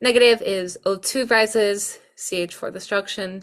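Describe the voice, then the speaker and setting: A woman with a non-native accent speaks at a fairly slow pace with ordinary pitch variation, in a very clean recording with a silent background. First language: not English. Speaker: student tutor. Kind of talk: exam review tutorial. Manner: casual, hesitant with fillers.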